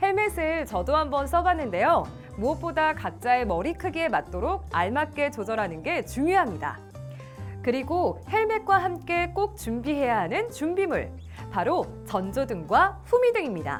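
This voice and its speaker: Over music in the background, a woman talks at a fairly slow pace in an upbeat tone. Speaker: voice actor. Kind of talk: safety education narration. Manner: friendly, upbeat.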